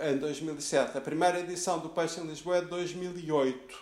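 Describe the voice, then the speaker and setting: Amid noticeable background noise, a man with a high voice talks at a moderate pace with fairly even intonation. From Lisbon, Portugal (teen years in Rio de Janeiro). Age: 50s. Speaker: food critic. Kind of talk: interview. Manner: halting, many repetitions.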